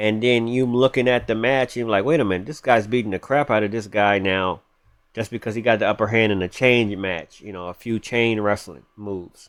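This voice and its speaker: A man's plain, everyday voice, fairly low in pitch, with fairly even intonation and a fairly quick pace. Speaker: gaming YouTuber. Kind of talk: gameplay tutorial. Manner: casual, with false starts.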